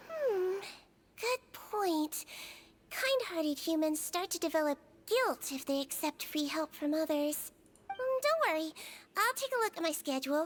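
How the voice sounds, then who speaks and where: In a put-on character voice, a woman speaks at a moderate pace and an extremely high pitch, with very wide pitch swings and long, frequent pauses. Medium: video game. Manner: soft-spoken, gentle.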